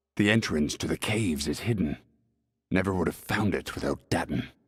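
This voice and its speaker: Using a put-on character voice, a man speaks at a fairly quick pace with a very deep, low pitch. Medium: video game. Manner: laconic, dry.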